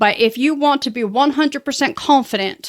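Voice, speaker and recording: With lively intonation and a high pitch, a woman speaks on a very clean recording against a silent background. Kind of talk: channel intro pitch. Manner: fast-talking; unpolished.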